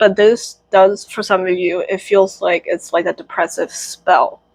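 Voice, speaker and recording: Speaking in an unremarkable speaking voice, a woman keeps a medium pitch and ordinary pitch variation. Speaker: tarot reader. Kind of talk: tarot reading. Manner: casual, many fillers.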